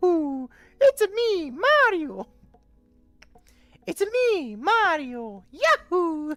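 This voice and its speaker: In a put-on character voice of extremely high pitch, the speaker swings very widely in pitch, talking at a very slow pace with long, frequent pauses. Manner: cheerful, exclaiming.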